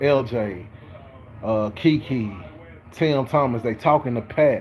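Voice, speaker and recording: There is noticeable background noise behind this man. His voice shows ordinary pitch variation. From Texas. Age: 30s. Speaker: sports vlogger. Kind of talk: casual sports commentary monologue. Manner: casual, filler-heavy with repetitions.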